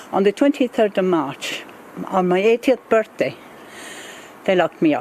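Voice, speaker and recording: The speech moves at a moderate pace with very wide pitch swings. Noticeable background noise runs underneath. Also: woman. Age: 80s+. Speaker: older Irish community member. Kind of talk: interview testimony.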